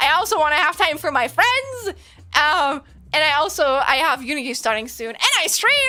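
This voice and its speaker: Her voice raised and projected, a woman speaks at a moderate pace with a high pitch and very wide pitch swings. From Germany. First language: German. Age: 20s. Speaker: streamer and game developer. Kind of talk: casual livestream chat.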